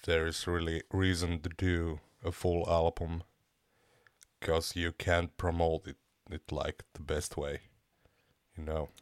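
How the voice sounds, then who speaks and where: Flat, monotone delivery at a fairly slow pace with long, frequent pauses, dry and close with no echo. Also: man, very deep, low pitch for a man, very clean recording, silent background. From Finland. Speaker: metal band vocalist. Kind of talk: casual interview. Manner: halting, searching for words.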